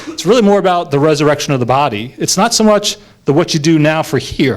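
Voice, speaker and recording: A man with an American accent, fairly high pitch and a normal speaking voice, at a fairly quick pace. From New York. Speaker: lay preacher. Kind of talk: sermon. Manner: conversational with frequent fillers.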